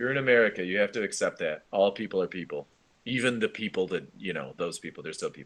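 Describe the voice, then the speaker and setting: Delivered at a very fast pace, the voice has lively intonation and big swings in loudness. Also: man, fairly low pitch for a man. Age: adult. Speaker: school esports team advisor. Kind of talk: online meeting with students. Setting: video call.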